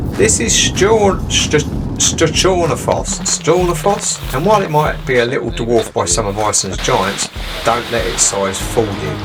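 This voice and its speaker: A man with an English accent at medium pitch, with very wide pitch swings and a fairly slow pace, amid audible room echo and music in the background. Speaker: travel vlogger and father. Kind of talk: scripted narration.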